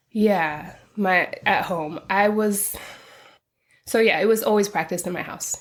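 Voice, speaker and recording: Pausing long and often, a woman at medium pitch talks at a fairly slow pace on a very clean recording with a silent background. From England-born, raised in western US (California from 14). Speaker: activist. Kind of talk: interview conversation. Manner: casual, hesitant with fillers.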